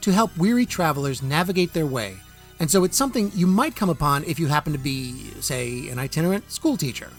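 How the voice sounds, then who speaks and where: Over music in the background, a man with a fairly high pitch talks in a playful tone at a fairly quick pace, his pitch swinging very widely. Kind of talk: casual talk to camera. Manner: playful, jokey.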